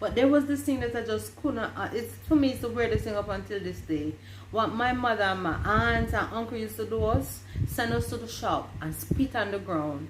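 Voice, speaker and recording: There is audible room echo and noticeable background noise. A woman speaks through it at a moderate pace. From Jamaica, Westmoreland. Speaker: vlogger. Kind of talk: casual chat.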